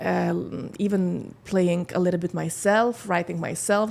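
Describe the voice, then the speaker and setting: The speaker has a slight Scandinavian accent and ordinary pitch variation. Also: woman. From Lithuania. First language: Lithuanian. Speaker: model and singer. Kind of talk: podcast interview. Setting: studio. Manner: halting.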